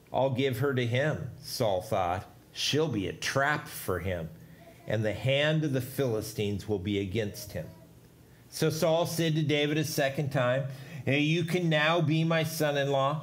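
Fairly slow, somewhat breathy male speech full of lively intonation. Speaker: pastor. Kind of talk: sermon scripture reading. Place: church.

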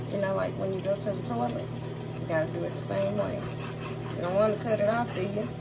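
A woman at a very fast pace over loud background noise. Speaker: home cook vlogger. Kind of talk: casual cooking tutorial. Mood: joking, playful. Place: kitchen. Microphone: phone near.

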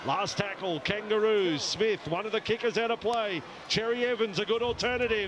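The tone is animated and excited, the sound dry with no echo, and there is noticeable background noise. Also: man. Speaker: rugby league commentator. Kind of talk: rapid-fire live play-by-play rugby commentary over match highlights. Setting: commentary box at stadium. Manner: clipped, staccato name-calling of each pass, rising to excited bursts at tries; animated, exclamatory praise of big plays. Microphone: headset.

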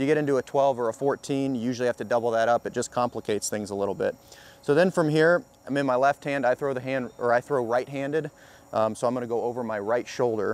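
A man at a very fast pace, ordinary pitch variation, and a dry sound with no echo. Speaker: fishing instructor. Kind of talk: tutorial. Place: street. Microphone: lapel.

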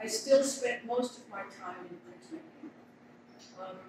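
Her voice is high for a woman. Audible room echo and noticeable background noise surround it. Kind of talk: interview answer. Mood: warm, reflective. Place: hall. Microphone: camera far.

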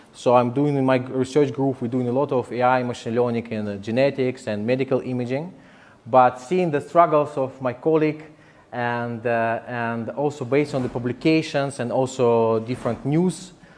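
This speech runs at a moderate pace with fairly even intonation. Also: man. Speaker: speaker. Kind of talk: lecture. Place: hall.

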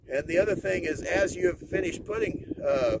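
At a moderate speed, a man talks in a dry sound with no echo, while loud noise fills the background. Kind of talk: tutorial. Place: farm machine. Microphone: phone near.

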